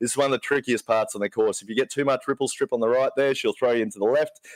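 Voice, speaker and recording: A medium-pitched man in an Australian accent, with ordinary pitch variation and a dry, close sound with no echo. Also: quiet background. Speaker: co-commentator. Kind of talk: live commentary.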